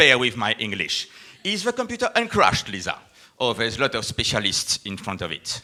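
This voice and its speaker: A man speaks at a moderate pace in a French accent. His speech has long, frequent pauses. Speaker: company executive presenter. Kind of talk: live event presentation. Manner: animated.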